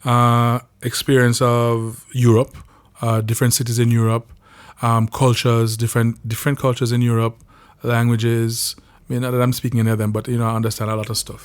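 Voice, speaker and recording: Here a man talks at a fairly quick pace in a medium pitch. His intonation is monotone and flat. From Jamaica. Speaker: podcast host, singer. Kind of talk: personal storytelling monologue. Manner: hesitant, many fillers and repeats.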